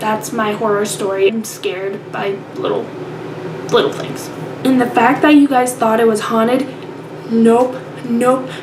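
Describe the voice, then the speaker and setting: Soft-spoken and fairly slow, a woman talks with long, frequent pauses, with audible room echo and noticeable background noise. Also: fairly high pitch for a woman, ordinary pitch variation. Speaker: video pen pal vlogger. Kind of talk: casual video letter. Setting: grandparents' basement bathroom at night.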